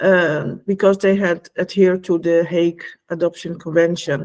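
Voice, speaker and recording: A woman with a Dutch accent speaks at a fairly slow pace and a fairly low pitch. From Netherlands. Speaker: former EU official and whistleblower. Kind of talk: online talk. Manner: halting, many fillers.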